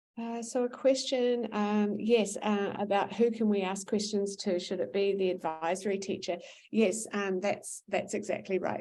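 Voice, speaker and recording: In a New Zealand accent, a woman talks at a moderate pace with a dark, mellow tone. Her intonation stays fairly even. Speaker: school administrator. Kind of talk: parent information session Q&A. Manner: many filler words and hesitations.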